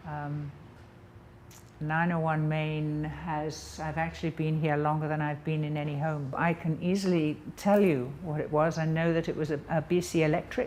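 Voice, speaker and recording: The speaker has an English accent and talks at a moderate pace. The intonation is monotone and flat. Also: woman, very deep, low pitch for a woman. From England. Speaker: painter. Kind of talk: interview monologue. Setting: artist's studio. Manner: hesitant, with many ums.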